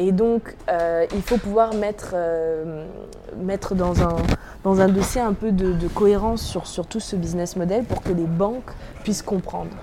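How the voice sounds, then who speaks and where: Noticeable background noise sits behind a woman speaking at a medium pitch and a fairly slow pace. Her intonation is fairly even, with long, frequent pauses. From France (Normandy). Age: 20s. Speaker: impact investment founder. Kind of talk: interview. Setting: coworking space with street protest outside.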